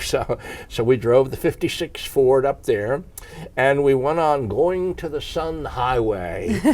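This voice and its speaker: With noticeable background noise behind him, a man with an American accent speaks in a fairly high pitch with lively intonation. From Narberth, Pennsylvania. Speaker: retired teacher. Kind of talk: oral history interview answer.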